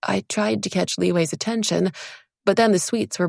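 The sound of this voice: Over quiet surroundings, someone reads in an unforced voice.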